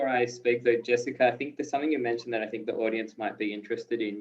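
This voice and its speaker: This man's voice sits at a medium pitch. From Australia. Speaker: educator. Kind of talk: panel discussion.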